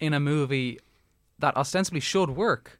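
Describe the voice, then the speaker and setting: A man with an Irish accent, lively intonation and a moderate pace on a very clean recording with a silent background. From Ireland. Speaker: podcast co-host. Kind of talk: casual chat.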